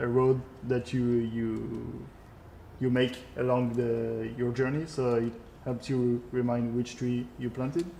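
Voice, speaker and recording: A man's fairly slow, monotone delivery with flat intonation and long, frequent pauses. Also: medium pitch for a man. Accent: French. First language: French. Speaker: video game creative director. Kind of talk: live gameplay stream with Q&A. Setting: live stream. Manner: halting, many filler sounds.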